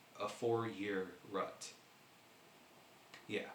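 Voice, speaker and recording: There is audible room echo and noticeable background noise as a man talks at a very slow pace. His intonation stays fairly even. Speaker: vlogger. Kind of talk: personal vlog talk. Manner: halting.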